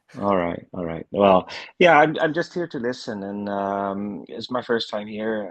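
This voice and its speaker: A man with a slight Dutch accent talks at a fairly slow pace and a fairly low pitch. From Netherlands. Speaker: first-time participant. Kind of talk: casual chat. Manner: halting.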